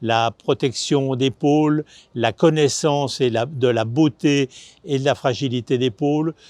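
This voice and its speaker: Very slow speech from a man with a fairly high pitch, a dark, mellow tone and ordinary pitch variation, dry and close with no echo, over a quiet background. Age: 60s. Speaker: foundation president. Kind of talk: video presentation. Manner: hesitant with many filler sounds.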